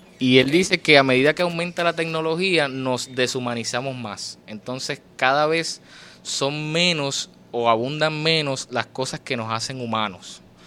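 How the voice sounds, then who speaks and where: A man with a fairly high pitch and a bright, sharp tone speaks at a fairly slow pace. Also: ordinary pitch variation. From Puerto Rico, Fajardo. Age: 20s. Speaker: poet and writer. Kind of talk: interview.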